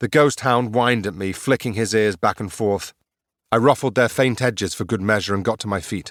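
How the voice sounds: A quiet background beneath a natural reading voice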